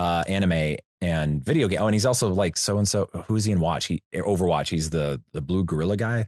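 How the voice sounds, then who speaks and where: A man speaks with a very deep, low pitch, ordinary pitch variation and very even loudness, hardly pausing. The sound is dry and close with no echo over a quiet background. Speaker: voice actor. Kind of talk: interview conversation. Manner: animated.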